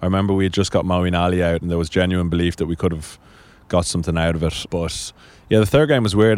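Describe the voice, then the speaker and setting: A man's very deep, low voice in a Dublin accent, with fairly even intonation. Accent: Dublin Irish. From Ireland, Dublin (Sandymount). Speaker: national cricket team captain. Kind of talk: interview.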